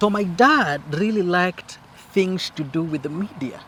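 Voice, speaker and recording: Over noticeable background noise, a high-pitched man speaks at a moderate pace with lively intonation. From Kenya. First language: Swahili or local Kenyan language. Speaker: co-host of family channel. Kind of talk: casual chat. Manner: halting, repetitive.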